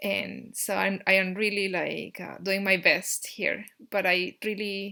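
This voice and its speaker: A woman with a Peruvian accent speaks at a medium pitch and very slow pace in a bright, sharp tone, on a very clean recording with a silent background. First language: Spanish. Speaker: YouTuber teaching Andean cosmology. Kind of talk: casual talk to camera. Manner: halting, many fillers.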